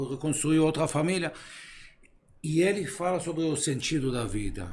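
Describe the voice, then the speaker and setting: With audible room echo around him, a man with a fairly high pitch and vocal fry speaks at a moderate pace with lively intonation. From Israel. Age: 50s. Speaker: philosopher. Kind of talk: casual chat. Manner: halting.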